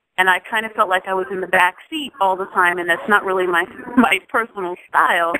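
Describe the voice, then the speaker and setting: With an unremarkable speaking voice, a woman talks at a fairly quick pace and medium pitch, with ordinary pitch variation and a dry, close sound with no echo. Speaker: jazz singer. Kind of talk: interview.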